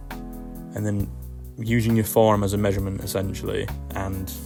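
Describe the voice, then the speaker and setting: Over music in the background, a man speaks at a fairly slow pace with fairly low pitch and lively intonation. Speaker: puppet maker and film director. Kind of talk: casual tutorial voice-over. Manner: casual, rambling, hesitant.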